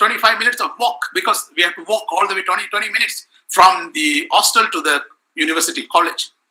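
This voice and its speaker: The raised, projected voice moves at a fairly quick pace, with very wide pitch swings. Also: man. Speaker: professor. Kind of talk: lecture. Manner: halting.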